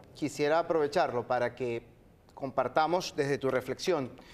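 At a moderate pace, a man talks at medium pitch with ordinary pitch variation.

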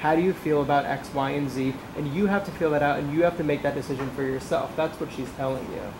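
With noticeable background noise behind her, a woman races along at a very fast pace, hardly pausing at all. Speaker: audience member. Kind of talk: audience question. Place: meeting room. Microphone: camera far.

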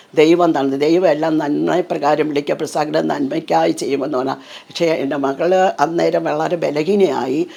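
Noticeable background noise sits behind a woman whose very deep, low voice keeps a fairly even intonation. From Thiruvananthapuram, Kerala. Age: 70s. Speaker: church worker. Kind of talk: testimony.

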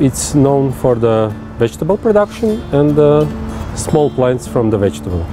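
Clear music plays in the background as a man talks at a fairly slow pace in a dry sound with no echo. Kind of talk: interview answer. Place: street.

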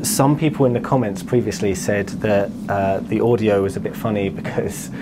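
Loud background noise surrounds a man whose voice has ordinary pitch variation. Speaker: presenter. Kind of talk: casual vlog chat. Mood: amused, jokey. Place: shop. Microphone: lapel.

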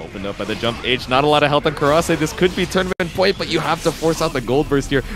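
Over background music, a man talks at a very fast pace in an energetic tone. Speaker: esports commentator; voice actor. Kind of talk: esports match commentary, fast and excited. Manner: fast, energetic, hyped play-by-play.

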